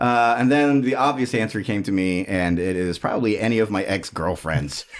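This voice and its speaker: This man has a normal speaking voice, a fairly low pitch and a moderate pace. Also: lively intonation. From born in Germany, army family, raised in the US. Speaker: musician. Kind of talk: casual interview chat. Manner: casual, many fillers.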